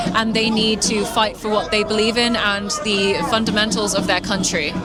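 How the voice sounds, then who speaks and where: Over music in the background and audible room echo, a woman with a Welsh accent speaks at a fairly quick pace in a fairly high voice with fairly even intonation. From Wales. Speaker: protester. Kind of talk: street interview.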